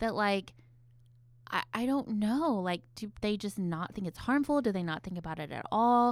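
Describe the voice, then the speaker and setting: A woman speaks in a normal speaking voice with fairly high pitch and lively intonation, captured on a very clean recording with a silent background. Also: moderate pace. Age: 30s. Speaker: therapist and podcast co-host. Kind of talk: casual chat. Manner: scripted intro reading.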